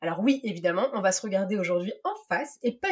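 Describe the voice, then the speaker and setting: Lively intonation in a somewhat breathy voice from a woman. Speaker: podcast host and life coach. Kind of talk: read monologue.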